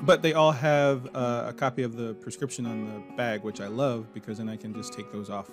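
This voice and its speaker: An American accent at a moderate pace, calm in tone, with ordinary pitch variation and music in the background. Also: man. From Maryland, USA. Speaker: fashion designer. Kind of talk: instructional walkthrough. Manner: casual, calm.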